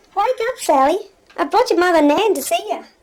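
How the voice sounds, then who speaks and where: The speaker uses a squeaky, put-on character voice at a fairly quick pace. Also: female-sounding voice, extremely high pitch for a woman. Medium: stage play. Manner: cheery, breezy.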